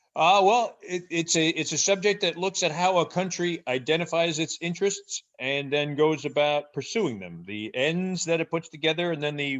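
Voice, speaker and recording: Over a quiet background, someone with a New Jersey accent talks at a moderate pace with lively intonation. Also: man. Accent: New Jersey American English. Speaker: professor. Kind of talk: interview.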